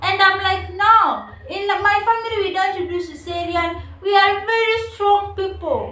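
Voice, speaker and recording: Pitched extremely high, a woman's raised, projected voice carries at a fairly slow pace through audible room echo. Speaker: vlogger. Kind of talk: personal storytelling. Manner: animated.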